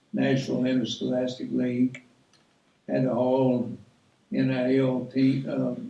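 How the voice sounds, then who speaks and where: With a Tennessee accent, a man talks against audible room echo. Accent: Southern US (Tennessee). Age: 80s+. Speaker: guest speaker, retired teacher and coach. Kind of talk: speech to an audience. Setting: awards ceremony with audience. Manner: folksy, conversational.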